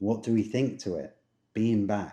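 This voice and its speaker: A man with an English accent speaks at a moderate pace and a fairly low pitch. His tone is dark and mellow, with a quiet background. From England. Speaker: travel vlogger. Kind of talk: casual chat.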